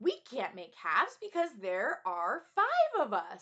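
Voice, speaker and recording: In a squeaky, put-on character voice, a woman speaks fairly slowly at a high pitch with very wide pitch swings. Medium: read story.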